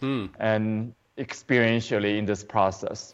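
A man talks at a fairly slow pace. He speaks with a Chinese accent. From China. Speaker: qigong teacher. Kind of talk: interview.

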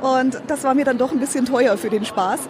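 A woman talks in a high voice with ordinary pitch variation. The room echo is audible, and crowd noise fills the background. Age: 30s. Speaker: entrepreneur. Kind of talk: interview. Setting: trade fair booth.

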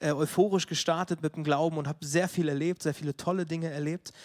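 A man with a high pitch speaks at a fairly quick pace and fairly even intonation. The recording is very clean, with a silent background. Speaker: preacher. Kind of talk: sermon.

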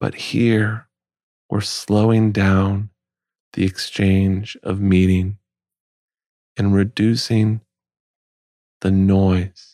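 A man speaks very slowly at a fairly low pitch with monotone, flat intonation, very even loudness and a dark, mellow, soothing tone, leaving long, frequent pauses in a dry, close sound with no echo. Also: very clean recording, silent background. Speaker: podcast host. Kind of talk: slow spoken monologue.

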